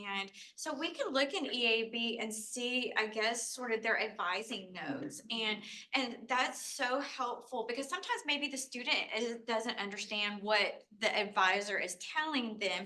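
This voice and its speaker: A fairly high woman's voice at a moderate pace amid noticeable background noise. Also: ordinary pitch variation. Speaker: first-gen program staff. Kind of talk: panel discussion. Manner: loud.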